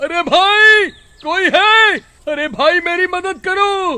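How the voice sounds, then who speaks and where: A man's loud shouting in a put-on character voice, extremely high in pitch, at a very slow pace. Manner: loud, shouting, pleading.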